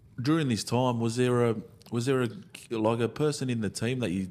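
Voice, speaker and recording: A man in an ordinary speaking voice, medium-pitched with ordinary pitch variation, at a fairly quick pace on a very clean recording with a silent background. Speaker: podcast co-host. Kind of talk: casual chat, interviewing. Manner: upbeat, conversational.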